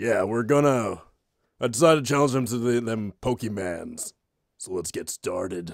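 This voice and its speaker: A man performs in a put-on character voice. The recording is very clean with a silent background. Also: medium pitch for a man, fairly slow pace. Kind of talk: fan parody gaming commentary. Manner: casual, crude, jokey.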